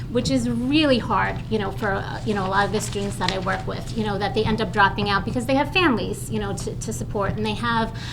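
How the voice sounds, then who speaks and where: In a Long Island accent, a woman speaks at a very fast pace, with audible room echo and noticeable background noise. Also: hardly any pauses. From Long Island, New York. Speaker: social work professor. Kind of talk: testimony at public forum. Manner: halting, many fillers.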